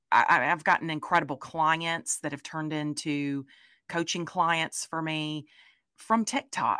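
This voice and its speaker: A bright, sharp tone with a Southern US accent comes through on a very clean recording with a silent background. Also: woman. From US South. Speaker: content creator and product designer. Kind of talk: interview.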